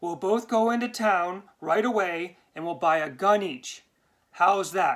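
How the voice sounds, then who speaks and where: Middle pitch and fairly slow pace in a put-on character voice. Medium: read story. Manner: snarling, vindictive.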